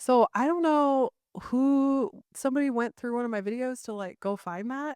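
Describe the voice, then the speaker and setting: A woman's high, animated voice with ordinary pitch variation, quiet background, and dry, close sound with no echo. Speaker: YouTuber and podcast co-host. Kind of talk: casual chat. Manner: fast.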